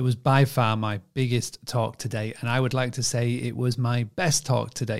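On a very clean recording with a silent background, a man with a northern English accent speaks in a monotone, flat way at a medium pitch and a moderate pace. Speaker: podcast host. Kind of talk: podcast intro and outro.

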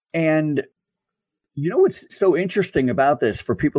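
Lively intonation marks a man's normal speaking voice at a moderate pace. The sound is dry and close with no echo. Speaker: podcast host. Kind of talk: interview. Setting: video call. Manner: laughs often.

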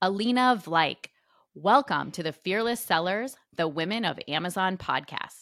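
In an unremarkable speaking voice, a woman talks at a moderate pace and medium pitch with lively intonation, the recording very clean with a silent background and a dry, close sound with no echo. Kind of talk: casual interview.

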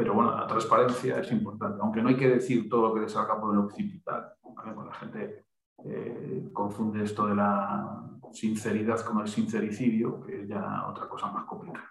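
A man at a moderate pace, with audible room echo. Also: big swings in loudness. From Galicia, Pontevedra. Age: 40s. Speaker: human resources trainer. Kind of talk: casual interview.

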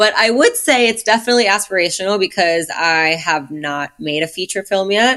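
A woman's bright, sharp voice with a New York accent, at a fairly quick pace. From US Northeast, Brooklyn, New York. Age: 30s. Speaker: film and music video director. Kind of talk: casual interview chat. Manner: animated.

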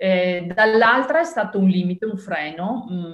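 Through noticeable background noise, a woman speaks at medium pitch with ordinary pitch variation. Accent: Venetian. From northeastern Italy (Triveneto). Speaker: marketing and communication expert. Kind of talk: interview. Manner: hesitant, with fillers.

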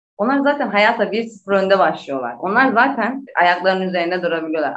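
A woman speaks at a medium pitch and a moderate pace. She has a normal speaking voice. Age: 30s. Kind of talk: interview.

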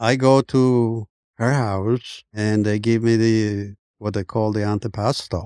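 Over a very clean recording with a silent background and a dry, close sound with no echo, a man with a Colombian accent speaks in a dark, mellow tone, monotone and flat, at a very slow pace. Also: medium pitch for a man. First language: Spanish. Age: 70s. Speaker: immigrant and former basketball player. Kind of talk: casual interview storytelling. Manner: frequent hesitations and repeated words.

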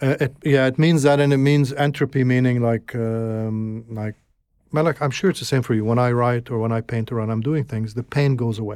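A man with an Arabic accent, medium pitch, fairly even intonation and a fairly quick pace, on a very clean recording with a silent background. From Egypt (Alexandria), moved to Canada at 12. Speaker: filmmaker and broadcasting executive. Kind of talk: interview conversation.

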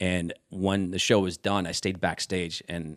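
Speaking with a Midwestern American accent, a man with a very deep, low pitch keeps his intonation fairly even on a very clean recording with a silent background. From Omaha, Nebraska (South Omaha). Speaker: former TV music news presenter. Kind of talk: casual chat.

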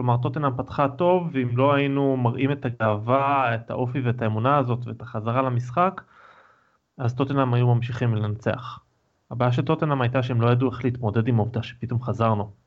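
A man with an unremarkable speaking voice talks at a fairly quick pace, medium in pitch and fairly even in intonation. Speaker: podcast co-host. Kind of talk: casual chat. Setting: video call.

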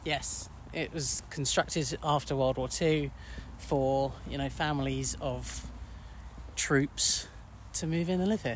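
Speaking with an English accent, a man talks at a very slow pace, with long, frequent pauses. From England. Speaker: podcaster. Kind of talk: casual chat. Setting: outdoors.

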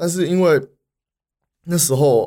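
This man's voice has a dark, mellow tone and lively intonation. The recording is very clean, with a silent background. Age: 20s. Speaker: city government foreign affairs official. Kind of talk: interview. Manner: halting, many fillers.

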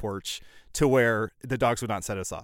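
In a normal speaking voice, a man with an American accent talks at a moderate pace with fairly even intonation, the sound dry and close with no echo and the recording very clean with a silent background. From central Illinois. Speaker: comedian and podcast voice actor. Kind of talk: casual chat.

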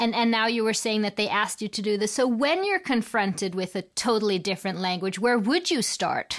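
Using a normal speaking voice, a woman speaks at a moderate pace with a fairly high pitch and lively intonation. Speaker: podcast host. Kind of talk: interview.

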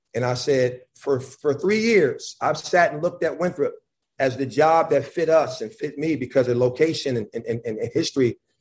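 At a moderate pace, a man with an American accent speaks in a fairly high pitch, somewhat breathy, with ordinary pitch variation. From Buffalo, New York. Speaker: college basketball head coach. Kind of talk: casual chat. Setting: video call.

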